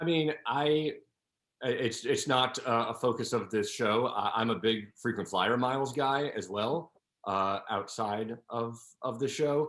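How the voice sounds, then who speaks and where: A man's normal speaking voice at medium pitch, fairly slow, with ordinary pitch variation over a quiet background. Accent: American. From northern New Jersey, Paramus. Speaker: travel show host. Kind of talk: interview.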